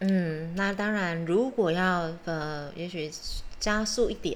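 Fairly low female voice, with audible echo from the room. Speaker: podcast co-host. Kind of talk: casual chat.

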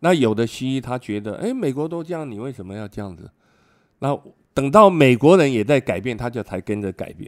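An unremarkable speaking voice, a man at medium pitch talks fairly quickly with lively intonation and big swings in loudness on a very clean recording with a silent background. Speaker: retired immunology professor and physician. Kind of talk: interview.

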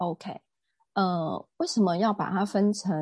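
Breathy to a degree and dark, mellow in tone, a woman speaks with a dry, close sound with no echo over a quiet background. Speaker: real estate agent and wellness lecturer. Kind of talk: casual interview.

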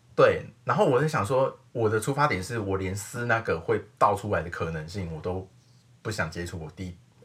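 Fairly quick and lively in intonation, a man speaks at a fairly low pitch. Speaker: podcast host. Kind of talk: casual chat.

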